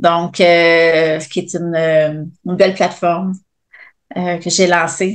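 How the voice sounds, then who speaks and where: The speaker has a Quebec accent. The intonation stays fairly even. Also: woman. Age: 40s. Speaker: fitness coach and entrepreneur. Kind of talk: interview. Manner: hesitant, many fillers.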